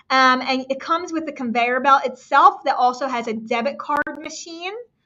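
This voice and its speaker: A woman's high-pitched voice at a moderate pace. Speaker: live-stream product presenter. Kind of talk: live shopping stream. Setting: live stream. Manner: stumbling over words.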